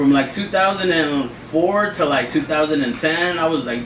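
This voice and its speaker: Against noticeable background noise and audible room echo, a man speaks at a moderate pace in a fairly high pitch. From Watsonville, California. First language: Spanish. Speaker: DJ. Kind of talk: interview. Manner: casual, halting.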